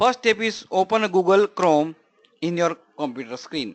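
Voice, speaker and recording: The recording has a dry, close sound with no echo as a man speaks at a high pitch with ordinary pitch variation. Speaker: webinar presenter. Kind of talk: online tutorial webinar. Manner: fast.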